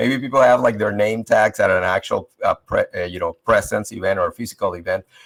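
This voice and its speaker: Fairly quick speech from a man, the sound dry and close with no echo. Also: hardly any pauses. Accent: Spanish. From Venezuela. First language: Spanish. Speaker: leadership panelist. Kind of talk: panel discussion.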